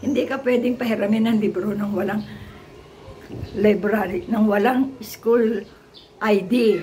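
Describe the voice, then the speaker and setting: A woman speaks at a fairly slow pace in a fairly high pitch, with noticeable background noise and audible room echo. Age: 70s. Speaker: retired teacher vlogger. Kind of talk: casual vlog talk. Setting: at home.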